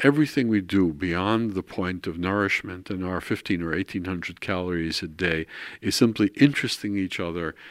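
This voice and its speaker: Speaking with a New York accent, a man talks at a moderate pace in a very deep, low voice with ordinary pitch variation. The recording is very clean, with a silent background. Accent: New York American. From New York, Brooklyn. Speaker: art historian. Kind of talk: interview. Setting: at home.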